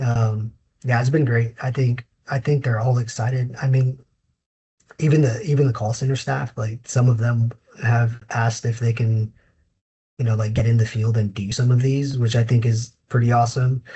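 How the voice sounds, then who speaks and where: The somewhat breathy voice speaks in a flat monotone. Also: man, medium pitch for a man, moderate pace. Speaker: inspection company manager. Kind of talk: casual interview.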